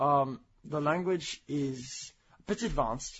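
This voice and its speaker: Somewhat breathy, this man's voice sits at a fairly high pitch. His pitch varies in an ordinary way. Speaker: podcast co-host. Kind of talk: casual chat.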